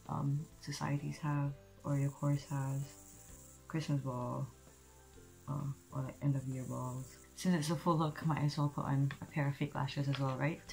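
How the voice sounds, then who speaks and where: With faint music in the background, a woman with a very deep, low voice speaks at a moderate pace in a flat monotone. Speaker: beauty vlogger. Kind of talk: makeup tutorial chat. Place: home room. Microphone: earbuds.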